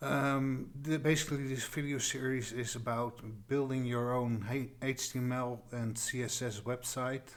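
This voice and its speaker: A man with a slight Dutch accent, medium pitch and monotone, flat intonation. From Netherlands. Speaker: tutorial creator. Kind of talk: tutorial. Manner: halting, many fillers and restarts.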